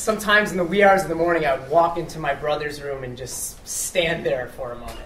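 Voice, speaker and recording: Noticeable noise sits behind the voice. The delivery is fairly quick. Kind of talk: live storytelling performance to an audience, comedic personal anecdote. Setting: live venue with audience. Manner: casual, conversational, humorous.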